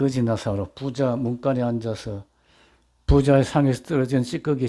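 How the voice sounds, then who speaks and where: With a dark, mellow tone and medium pitch, a man talks at a fairly slow pace and keeps his intonation fairly even. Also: very clean recording, silent background. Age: 80s+. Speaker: pastor. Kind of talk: sermon. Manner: conversational, with fillers.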